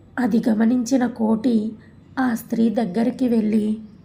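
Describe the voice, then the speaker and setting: A woman does a put-on character voice, fairly high and raspy. She keeps the intonation monotone and flat at a fairly slow pace. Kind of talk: horror story narration. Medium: audio drama. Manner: calm, measured.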